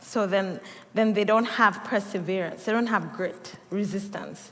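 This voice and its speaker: A woman with a Kenyan accent speaks at a medium pitch and a moderate pace, with audible echo from the room. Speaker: pastor. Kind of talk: sermon.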